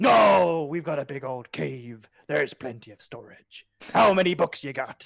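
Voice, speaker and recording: Putting on a character voice, a man speaks in a playful tone at a fairly high pitch. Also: moderate pace. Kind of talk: pirate talk. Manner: enjoying the role, gruff and playful.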